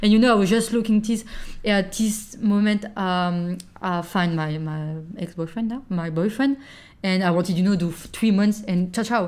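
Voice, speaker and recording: A woman speaks with a French accent at a medium pitch. She keeps a moderate pace and ordinary pitch variation. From France. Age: 20s. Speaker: podcast guest, working holiday maker. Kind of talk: casual chat. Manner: halting, searching for words.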